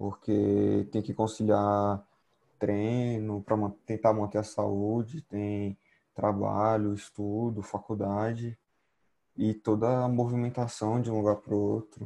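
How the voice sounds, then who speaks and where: In a Brazilian accent, a man speaks very slowly at a fairly low pitch. His tone is dark and mellow, and his intonation is monotone and flat. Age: young. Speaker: physical education student and gym intern. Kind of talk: casual chat.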